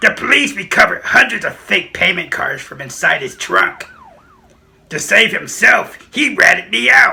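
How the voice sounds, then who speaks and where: A man performs a cartoonish character voice. His pace is moderate. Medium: puppet show. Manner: smug, matter-of-fact.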